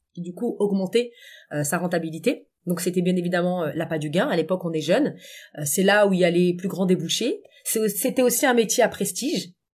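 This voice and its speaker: A woman uses a normal speaking voice at a medium pitch, with ordinary pitch variation and a moderate pace. The recording is very clean, with a silent background. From Paris suburbs, France (Essonne). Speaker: coach and public speaking trainer. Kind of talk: interview conversation.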